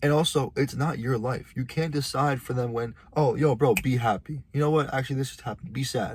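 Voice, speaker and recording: A man with a medium pitch speaks at a fairly quick pace, with hardly any pauses. His voice is somewhat breathy, his intonation fairly even. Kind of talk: casual monologue vlog.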